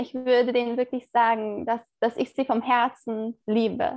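A woman speaks at a fairly slow pace in a high voice with fairly even intonation. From Turkey. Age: 20s. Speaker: theology student. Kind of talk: interview.

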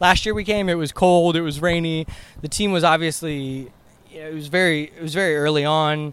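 In an American accent, an ordinary speaking voice moves at a moderate pace with fairly even intonation and big swings in loudness, over a very clean recording with a silent background. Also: man, fairly high pitch for a man. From US South, Atlanta Georgia. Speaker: soccer fan. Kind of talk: casual chat. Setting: outdoors.

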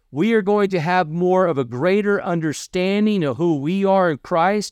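A high-pitched man with a Kentucky accent at a moderate pace, dry and close with no echo, over a quiet background. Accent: Kentucky Southern US. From US South, Kentucky. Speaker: podcast host and missionary preacher. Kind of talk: sermon-style podcast talk. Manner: halting, many fillers and repetitions.

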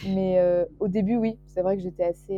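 A woman's voice at a medium pitch. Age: 20s. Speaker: young illustrator and student. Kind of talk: casual interview. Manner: hesitant, many fillers.

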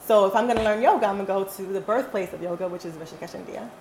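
Speech comes at a very fast pace from a woman. Behind her, background noise is noticeable. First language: not English. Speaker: yoga and physical education teacher. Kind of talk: casual chat. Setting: recorded at a dinner table.

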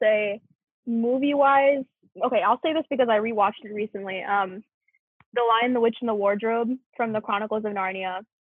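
Delivered at a fairly quick pace, this is a plain, everyday voice. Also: woman. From US South, Memphis, Tennessee. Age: 20s. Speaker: university student. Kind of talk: casual chat.

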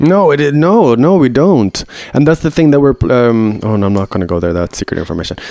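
A man speaks at a fairly quick pace in a medium pitch with very wide pitch swings, the sound dry and close with no echo and noticeable noise behind him. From Sweden. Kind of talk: casual chat.

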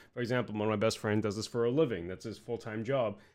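A man's voice, an unremarkable speaking voice, pitched medium, its intonation fairly even. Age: 30s. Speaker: podcast host. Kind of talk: casual interview chat.

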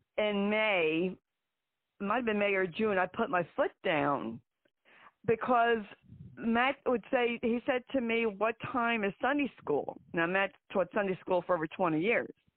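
A woman with a New Jersey accent speaks at a medium pitch and a fairly slow pace, her intonation lively and her loudness very even. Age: 60s. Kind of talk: interview conversation, personal story. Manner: blunt, emphatic.

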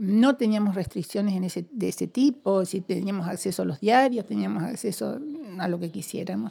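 A woman speaks in a normal speaking voice at a moderate pace with ordinary pitch variation. The recording is very clean, with a silent background. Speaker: former political prisoner. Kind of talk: interview testimony.

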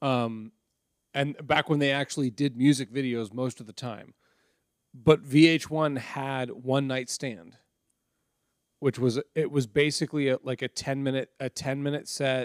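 A man with an unremarkable speaking voice talks at a fairly slow pace with fairly even intonation, in a very clean recording with a silent background. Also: medium pitch for a man. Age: 30s. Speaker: comedy podcast host. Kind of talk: casual chat.

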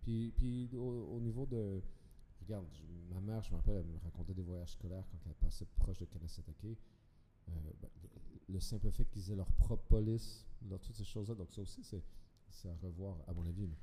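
This man's very deep, low voice has a dark, mellow tone, ordinary pitch variation and a somewhat breathy quality. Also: moderate pace, big swings in loudness. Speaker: podcast guest. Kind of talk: casual chat.

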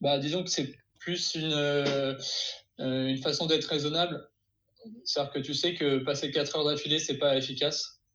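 Fairly high-pitched man in a flat monotone, moderate pace, long, frequent pauses. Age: 20s. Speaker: YouTuber who learns new skills. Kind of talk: casual interview.

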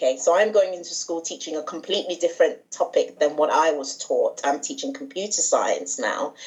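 A woman with a British accent at a fairly quick pace, hardly any pauses, and noticeable background noise behind her. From England, with Nigerian mother. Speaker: secondary school teacher and charity founder. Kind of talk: podcast interview.

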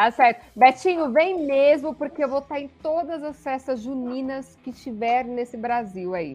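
Over music in the background, a woman with a high pitch speaks at a fairly slow pace with hardly any pauses and big swings in loudness. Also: ordinary pitch variation. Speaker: sports livestream host. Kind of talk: casual sports chat livestream. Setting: online livestream.

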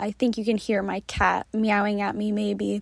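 The woman's medium-pitched voice keeps a fairly even intonation. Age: 20s. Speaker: travel blogger and podcast host. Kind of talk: casual solo monologue. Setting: recording in her closet.

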